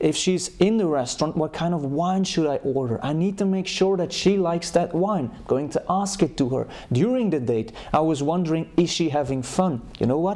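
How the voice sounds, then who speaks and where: Hardly any pauses from a man with a high pitch, ordinary pitch variation and a moderate pace. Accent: non-native. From Europe. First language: not English. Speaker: dating coach. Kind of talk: advice monologue.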